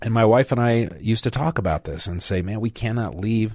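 A man talks at a fairly quick pace in an unremarkable speaking voice. His pitch varies in an ordinary way against a quiet background. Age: 60s. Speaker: radio talk show host and lawyer. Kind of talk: talk radio. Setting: radio studio.

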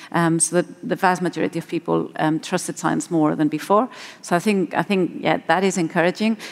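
Speaking at a fairly quick pace, a woman uses a fairly low pitch with vocal fry. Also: ordinary pitch variation. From Spain. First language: Spanish. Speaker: marine ecologist. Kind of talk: panel discussion.

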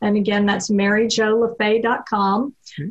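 With an American accent, a woman talks at a fairly slow pace in a somewhat breathy voice of medium pitch. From Texas. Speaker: reverse mortgage specialist. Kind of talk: radio interview.

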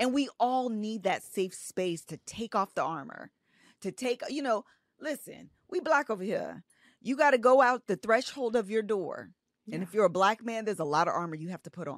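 In an unremarkable speaking voice, a woman with a fairly high pitch talks at a moderate pace, with lively intonation and big swings in loudness, the sound dry and close with no echo. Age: 30s. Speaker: author and social media creator. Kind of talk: casual interview chat.

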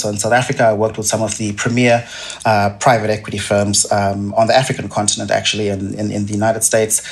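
Against noticeable background noise, a man with a Zimbabwean accent speaks with fairly low pitch and monotone, flat intonation. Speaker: investment research director. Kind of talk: podcast interview. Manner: halting, repeats words with many fillers.

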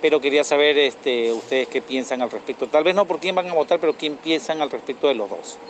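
Fairly high in pitch with ordinary pitch variation, a man talks at a fairly quick pace. He takes hardly any pauses, and there is noticeable background noise. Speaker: listener. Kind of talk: voice message.

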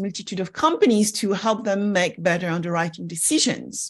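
Against a quiet background comes a normal speaking voice. Its intonation is lively, and the pace is fairly quick. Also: woman. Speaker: podcast host. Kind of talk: interview conversation.

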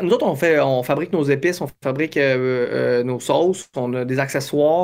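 Speaking at a moderate pace with hardly any pauses, a man uses a fairly high pitch and ordinary pitch variation. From Quebec. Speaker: business founder. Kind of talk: interview. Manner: halting.

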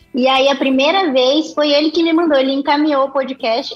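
A woman speaks in a high pitch. There is noticeable background noise. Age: 20s. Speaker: agronomist and consultancy executive. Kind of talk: casual interview.

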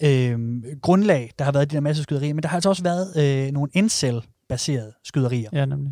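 A man with a dark, mellow tone moves along at a fairly quick pace. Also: fairly high pitch for a man, ordinary pitch variation. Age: 30s. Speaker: radio host. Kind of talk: casual chat; scripted narration.

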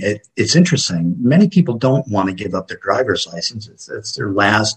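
A man's fairly low, somewhat breathy voice. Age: 60s. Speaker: paramedic and EMS educator. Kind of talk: interview.

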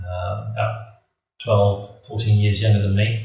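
Breath is somewhat audible in this voice. The delivery stays flat and monotone. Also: man. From raised abroad by British parents (Trinidad, Mexico, Brazil, Kenya). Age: 50s. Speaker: mining entrepreneur. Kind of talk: interview.

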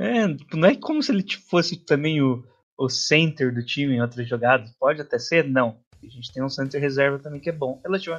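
Using a normal speaking voice, a man talks at a fairly quick pace with a fairly high pitch and ordinary pitch variation. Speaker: sports podcast host. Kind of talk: casual sports chat.

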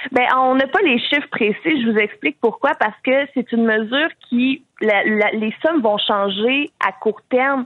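Speaking at a fairly slow pace with hardly any pauses, a woman keeps her loudness very even in a high pitch. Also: lively intonation. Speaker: youth political wing president. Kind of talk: radio interview.

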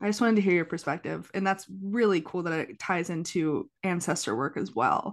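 A fairly low-pitched woman's voice with vocal fry and lively intonation, fairly quick in pace, against a quiet background. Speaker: podcast host. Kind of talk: casual interview chat. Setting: recorded remotely, cat in background.

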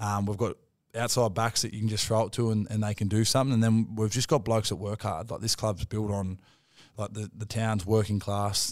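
A fairly quick, monotone delivery with flat intonation in an Australian accent, on a very clean recording with a silent background. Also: man, fairly low pitch for a man. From Australia, Wollongong. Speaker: professional rugby league player. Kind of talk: casual interview.

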